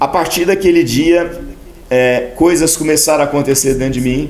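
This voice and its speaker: A man's fairly high voice with ordinary pitch variation, plus noticeable background noise and audible room echo. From Brazil, Minas Gerais (small town near Passos). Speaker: senior pastor. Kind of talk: interview, personal testimony.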